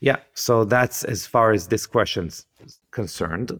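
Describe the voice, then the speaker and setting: Medium pitch from a man, on a very clean recording with a silent background. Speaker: podcast host and skincare company founder. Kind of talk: interview conversation.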